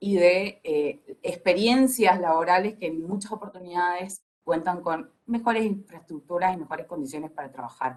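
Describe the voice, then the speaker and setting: A woman with an unremarkable speaking voice speaks at a moderate pace in a fairly low pitch, with ordinary pitch variation and hardly any pauses. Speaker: film industry panelist. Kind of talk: panel discussion.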